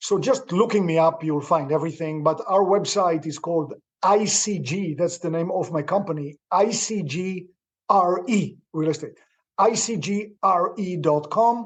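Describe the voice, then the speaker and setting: Speaking at a fairly slow pace with a non-native accent, a man uses a high voice, an enthusiastic tone and ordinary pitch variation. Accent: foreign. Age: 60s. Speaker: real estate investor. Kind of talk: interview.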